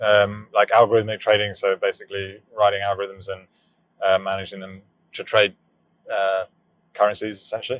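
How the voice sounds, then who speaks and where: A man with a British accent, fairly low in pitch and monotone, at a fairly quick pace with long, frequent pauses and big swings in loudness. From southern England. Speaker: startup founder. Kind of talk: casual chat. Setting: in a car.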